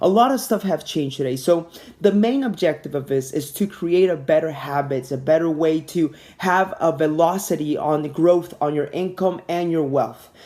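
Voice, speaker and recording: The voice moves at a moderate pace with ordinary pitch variation. Its tone is dark and mellow. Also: man, fairly high pitch for a man. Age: 20s. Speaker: airline pilot and network marketing presenter. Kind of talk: sales pitch. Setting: webinar.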